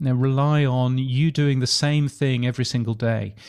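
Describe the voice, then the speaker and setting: A man's medium-pitched voice with fairly even intonation. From UK. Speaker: podcasting expert and radio futurologist. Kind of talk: interview. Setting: remote call from Australia.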